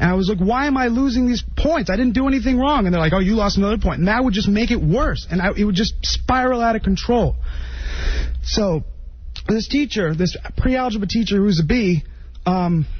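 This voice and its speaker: Someone mumbles at a fairly quick pace over noticeable background noise. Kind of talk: solo radio monologue. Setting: radio studio. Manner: rambling, mumbling; halting.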